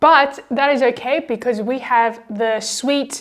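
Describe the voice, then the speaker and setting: A woman at a fairly slow pace with fairly even intonation, in a very clean recording with a silent background. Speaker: food vlogger. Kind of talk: casual vlog cooking commentary.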